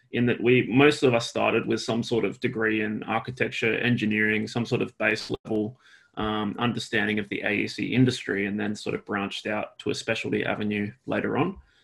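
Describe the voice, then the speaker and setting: A man with an Australian accent talks at a fairly quick pace in a medium pitch. His intonation is fairly even, and the recording is very clean with a silent background. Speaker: architect and BIM consultant. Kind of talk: casual interview chat.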